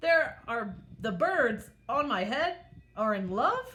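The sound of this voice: A woman puts on a character voice with a bright, sharp tone and a fairly high pitch. She speaks at a slow pace with big pitch swings.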